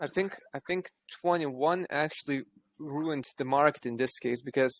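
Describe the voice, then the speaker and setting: On a very clean, dry, close recording with no echo and a silent background, a man with an Eastern European accent speaks at a moderate pace, his fairly high pitch showing ordinary variation. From Lithuania. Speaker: crypto project team member. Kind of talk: casual chat.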